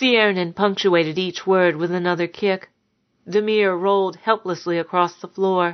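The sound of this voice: Against a quiet background, an unforced reading voice keeps a fairly even intonation.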